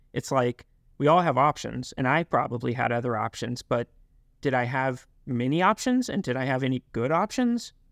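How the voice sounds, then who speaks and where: In an American accent, a man with an unremarkable speaking voice talks at a moderate pace and medium pitch with ordinary pitch variation, the sound dry and close with no echo. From US South. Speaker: company founder. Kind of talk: casual interview.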